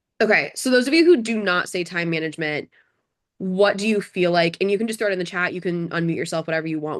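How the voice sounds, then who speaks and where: At a very fast pace, a woman speaks in a fairly low pitch with ordinary pitch variation. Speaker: bar exam tutor. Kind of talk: online workshop. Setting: video call.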